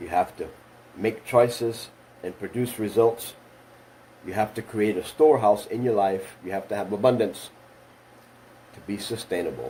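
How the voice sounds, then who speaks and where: A man is speaking at a moderate pace. His intonation is fairly even. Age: 60s. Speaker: motivational speaker. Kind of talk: motivational talk.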